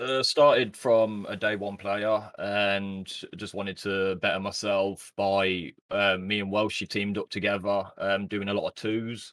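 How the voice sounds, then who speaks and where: A man with a British accent, fairly low in pitch and fairly slow in pace, with fairly even intonation, in a very clean recording over a silent background. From West Midlands, England. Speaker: esports team owner and player. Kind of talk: interview.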